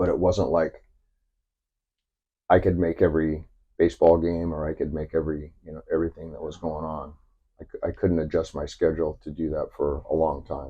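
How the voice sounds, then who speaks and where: A man with a very deep, low, somewhat breathy voice talks at a fairly quick pace with long, frequent pauses, monotone, flat intonation and big swings in loudness. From Southern California. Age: 60s. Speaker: commercial fisherman. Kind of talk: interview. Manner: halting.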